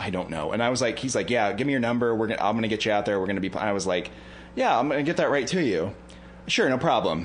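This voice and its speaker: In audible room echo, a man with an American accent and a medium pitch talks at a very fast pace with lively intonation. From northern US near Canadian border. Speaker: comedy podcast co-host. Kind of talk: casual chat.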